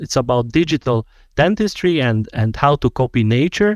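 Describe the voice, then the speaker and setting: Speaking at a fairly slow pace with a Hungarian accent, a man makes very wide pitch swings, his voice dry and close with no echo over a quiet background. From Hungary. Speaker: dental technician and lecturer. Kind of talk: podcast interview.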